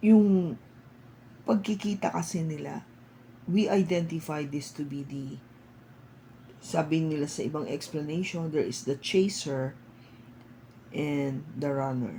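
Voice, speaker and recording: Very deep and low for a woman, her somewhat breathy voice moves at a fairly slow pace with ordinary pitch variation and long, frequent pauses. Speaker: tarot reader. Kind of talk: tarot reading. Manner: casual Taglish with fillers.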